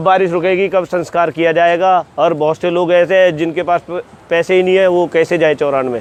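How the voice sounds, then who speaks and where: A man talks in a high voice. His intonation stays monotone and flat. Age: young. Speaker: villager. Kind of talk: interview testimony.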